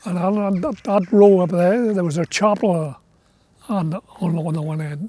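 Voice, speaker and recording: A man speaks in a high-pitched voice. His pace is moderate and his pitch varies in an ordinary way. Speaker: former coal miner. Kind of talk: documentary interview.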